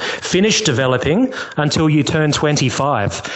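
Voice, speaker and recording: A man with a fairly high pitch and an Australian accent, amid noticeable background noise and audible room echo. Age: 30s. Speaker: caller. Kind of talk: casual chat. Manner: halting.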